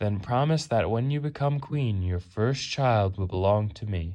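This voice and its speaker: A man puts on a character voice at a medium pitch. His intonation is lively and his pace moderate. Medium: read story. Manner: sly, bargaining.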